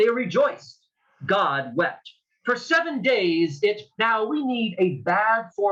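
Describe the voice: The background stays quiet. Against it comes plain reading aloud.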